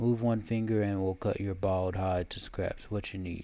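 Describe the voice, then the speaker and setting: A hoarse, put-on character voice at a moderate pace. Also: man, fairly low pitch for a man. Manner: threatening, gruff.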